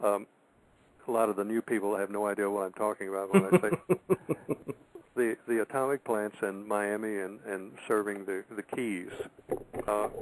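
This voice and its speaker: With an ordinary speaking voice, a man talks at a moderate pace, his pitch fairly low and his intonation fairly even. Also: dry, close sound with no echo. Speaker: radio show host. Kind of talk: radio talk show commentary.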